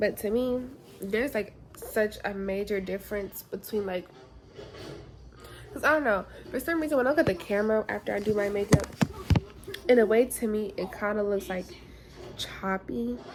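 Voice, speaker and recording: A woman at a moderate pace, with long, frequent pauses and noticeable background noise. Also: medium pitch for a woman. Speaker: beauty vlogger. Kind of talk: casual vlog chat. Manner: rambling, halting.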